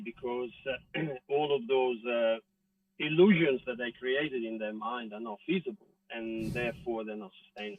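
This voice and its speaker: A man with an Italian accent at medium pitch and moderate pace, with ordinary pitch variation and music in the background. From Italy. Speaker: actor. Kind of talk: interview answer. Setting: outdoors.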